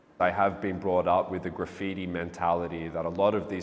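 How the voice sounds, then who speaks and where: Here is a man with an Australian accent. His intonation is monotone and flat. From Melbourne, Australia. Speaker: street artist. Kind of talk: interview monologue. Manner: halting, many fillers and repetitions.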